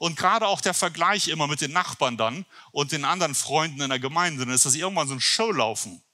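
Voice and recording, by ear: Lively intonation and a bright, sharp tone mark this man's fairly high voice. He talks at a fast pace.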